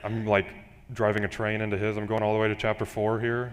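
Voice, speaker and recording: Here a man speaks in a fairly low voice. The recording is very clean, with a silent background. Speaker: pastoral intern. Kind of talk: sermon. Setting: church. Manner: monotone.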